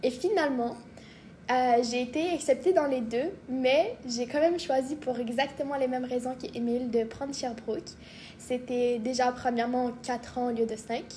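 A woman's high-pitched voice at a fairly slow pace. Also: fairly even intonation. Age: 20s. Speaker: medical student. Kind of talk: casual chat.

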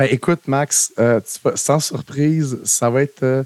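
Dry and close with no echo, this very clean recording with a silent background has a man at medium pitch with ordinary pitch variation, speaking with a Quebec accent. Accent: Québécois French. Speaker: film podcast co-host. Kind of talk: casual chat.

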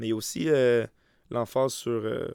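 A man with a Quebec accent speaks on a very clean recording with a silent background. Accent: Québécois French. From Quebec, Montérégie (Saint-Mathias-sur-Richelieu). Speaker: soccer coach and podcast host. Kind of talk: solo podcast monologue. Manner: halting, many repetitions and fillers.

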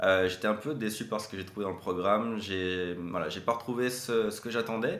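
A man speaks at a moderate pace with a fairly low pitch and fairly even intonation, and the room echo is audible. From Quebec (Saint-Paulin, Mauricie), teen years in France. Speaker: marketing entrepreneur and consultant. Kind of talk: interview.

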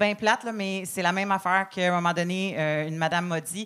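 In a Quebec accent, a woman speaks at medium pitch with monotone, flat intonation. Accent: Québécois French. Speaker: comedian. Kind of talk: comedy panel feedback.

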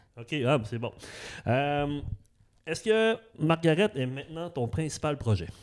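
This man's voice sits fairly high and swings very widely in pitch. He speaks very slowly, with long, frequent pauses. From Saguenay, Quebec (Arvida). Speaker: podcast host. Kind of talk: interview. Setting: dance studio. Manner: halting, many repetitions.

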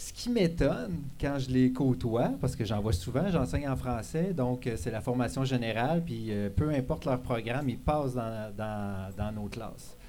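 Lively intonation from a man at a fairly slow pace, hardly any pauses, over noticeable background noise. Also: medium pitch for a man. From Quebec, Abitibi-Témiscamingue. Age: 40s. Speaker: cegep teacher, columnist. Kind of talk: live column reading. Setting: bar with live audience.

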